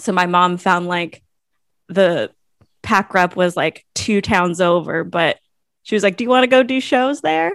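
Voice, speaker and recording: With a Californian accent, a woman speaks at a fairly slow pace with medium pitch and ordinary pitch variation, in a dry, close sound with no echo. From California, Monterey. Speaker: playwright. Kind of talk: casual interview.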